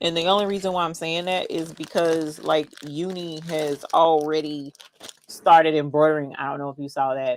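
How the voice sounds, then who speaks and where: With an American accent, a woman speaks at a moderate pace in a very deep, low pitch, her intonation fairly even but her loudness swinging widely. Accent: Southern, usually toned down. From North Carolina (Charlotte). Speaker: crafting YouTuber. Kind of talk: casual chat during livestream.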